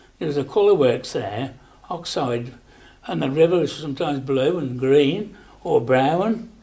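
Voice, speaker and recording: Here a man speaks at a fairly slow pace in a fairly high pitch. He has a Staffordshire accent. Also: lively intonation. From Rugeley, Staffordshire. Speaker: elderly local resident recalling childhood. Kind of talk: oral history interview answer. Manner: casual, reminiscing. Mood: fond, nostalgic.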